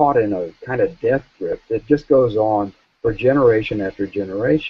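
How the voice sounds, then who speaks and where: In an American accent, a man with an ordinary speaking voice talks at medium pitch and a moderate pace with ordinary pitch variation. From US South. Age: 60s. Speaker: author and journalist. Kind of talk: interview.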